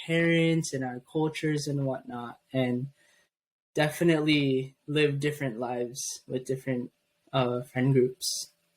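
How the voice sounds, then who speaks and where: At a moderate pace, a man talks in a fairly high voice with fairly even intonation and a slight Filipino accent. The recording is very clean, with a silent background. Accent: slight Filipino (Pangasinan) tinge. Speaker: podcast co-host. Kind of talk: casual chat.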